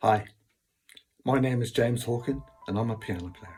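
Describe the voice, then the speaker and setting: Music plays in the background as a man with a Cornish accent speaks at a moderate pace. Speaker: piano player. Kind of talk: casual talk. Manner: hesitant, many fillers.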